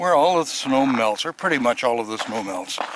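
Speaking with a Canadian accent, a man uses lively intonation. The sound is dry, with no echo. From Canadian mainland. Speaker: vlogger. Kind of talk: casual home video narration. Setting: outdoors. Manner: conversational, rambling. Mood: relaxed, chatty. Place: open country. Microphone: phone near.

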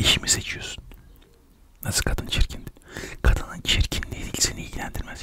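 A soft-spoken man at a moderate pace against loud background noise. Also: dry sound with no echo. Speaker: comic storyteller. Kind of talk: comedic monologue to camera. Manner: soft close-mic ASMR voice. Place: home room. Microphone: studio mic.

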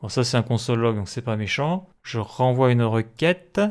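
A man with medium pitch is heard on a very clean recording with a silent background. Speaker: programming tutorial creator. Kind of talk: screen-recorded coding tutorial. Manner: hesitant, many fillers.

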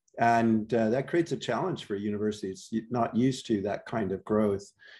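Over a quiet background, a man with an American accent speaks at medium pitch and a moderate pace, his dark, mellow tone carrying fairly even intonation. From Wisconsin. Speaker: university school director. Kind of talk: presentation. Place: home room. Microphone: video call.

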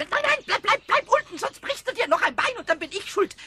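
Using a put-on character voice, a man talks at an extremely high pitch and a fairly quick pace. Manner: excited, stammering.

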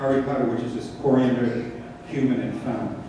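A man speaks at a medium pitch. There is strong room echo and light background noise. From Sri Lanka. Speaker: cookbook author. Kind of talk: cooking demonstration. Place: stage.

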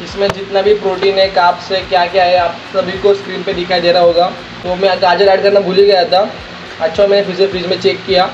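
There is noticeable background noise behind this man. His voice is high and his intonation flat and monotone. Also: moderate pace. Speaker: home fitness vlogger. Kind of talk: casual vlog chat.

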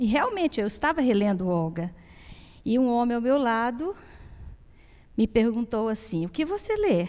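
Against a quiet background, a woman speaks at a high pitch and a fairly slow pace, her voice making very wide pitch swings. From Brazil, Goiás (Goiatuba); Goiás, Brazil. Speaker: moderator, visual artist and poet; moderator, poet. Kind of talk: moderating a public talk. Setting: theatre stage with audience. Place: stage. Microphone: handheld.

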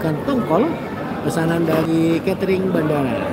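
A dry recording with no echo, set against loud background noise. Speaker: live streamer. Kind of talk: live stream commentary. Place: market. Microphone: phone near.

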